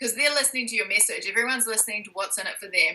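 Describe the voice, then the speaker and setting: With a New Zealand accent, the speaker goes at a very fast pace and shows ordinary pitch variation. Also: woman. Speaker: entrepreneur coach and author. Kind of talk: interview.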